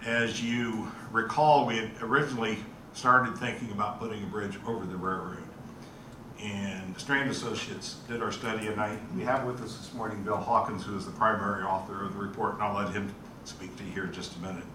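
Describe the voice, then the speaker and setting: A man talks at a fairly quick pace with fairly even intonation. His pitch sits fairly low, and noticeable background noise runs underneath. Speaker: presenter. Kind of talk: meeting presentation. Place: meeting room.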